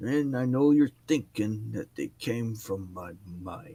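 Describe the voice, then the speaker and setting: A man puts on a character voice. He speaks at a medium pitch. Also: fairly slow pace. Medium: actual play. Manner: gruff, drowsy.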